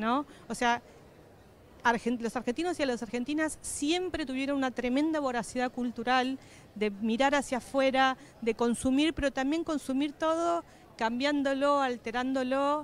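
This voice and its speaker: Her high pitch holding ordinary variation, a woman speaks at a fairly slow pace with very even loudness and a dry sound with no echo. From Patagonia, Argentina; Argentina. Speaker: political scientist and professor; interviewee. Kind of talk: interview. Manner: halting, frequent fillers and repetitions. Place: hall. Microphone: handheld.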